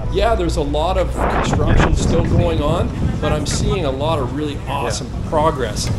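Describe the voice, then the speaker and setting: Clear music sits behind the recording. The man talks at a moderate speed. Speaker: vlogger. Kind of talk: casual vlog commentary. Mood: optimistic. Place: boat. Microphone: camera far.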